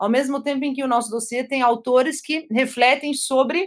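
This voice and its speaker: Recorded very cleanly against a silent background, a woman speaks at a moderate pace in a high pitch with ordinary pitch variation. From Brazil, German-Brazilian family. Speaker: sociology professor. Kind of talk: academic interview.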